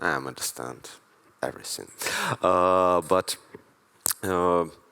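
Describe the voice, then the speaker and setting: A man with a very deep, low voice speaks fairly slowly, leaving long, frequent pauses. His tone is bright and sharp, with ordinary pitch variation. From Ukraine. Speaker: street artist. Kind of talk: stage interview. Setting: live event with audience. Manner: halting non-native English.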